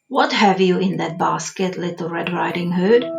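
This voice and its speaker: A woman's put-on character voice, gruff and raspy, fairly low in pitch, at a moderate pace, with faint music in the background. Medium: read story. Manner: sly.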